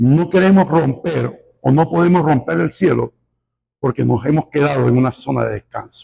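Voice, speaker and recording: A man's fairly high voice with vocal fry and a dark, mellow tone, fairly slow pace and lively intonation. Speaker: pastor. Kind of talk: sermon. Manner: animated.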